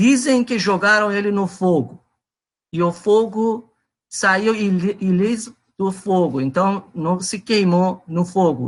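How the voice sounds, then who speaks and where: A man speaks with a Persian accent in a high pitch and ordinary pitch variation. The background is quiet. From Iran. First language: Persian (speaking Portuguese). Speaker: presenter of a talk on religion. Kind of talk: presentation to a group. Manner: halting, many fillers.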